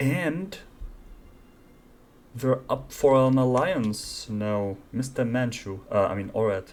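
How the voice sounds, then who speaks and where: The speaker talks at a very slow pace with a non-native accent. Long pauses come often. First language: not English. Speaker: gaming YouTuber. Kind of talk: let's play commentary. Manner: casual, thinking aloud.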